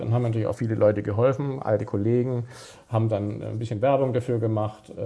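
This man speaks at a fairly quick pace in a medium pitch. His tone is dark and mellow, and somewhat breathy. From Stuttgart, southwest Germany. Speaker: sports journalist. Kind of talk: casual chat.

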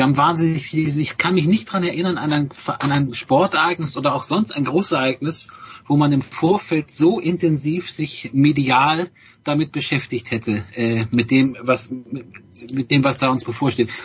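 A man with a fairly high, somewhat breathy voice at a moderate pace. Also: ordinary pitch variation. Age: 50s. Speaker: newspaper journalist. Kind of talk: casual chat.

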